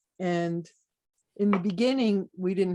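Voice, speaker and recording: A dark, mellow tone comes through at a fairly slow pace with ordinary pitch variation, on a very clean recording with a silent background and a dry, close sound with no echo. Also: woman. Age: 60s. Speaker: druid teacher and pagan author. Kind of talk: interview.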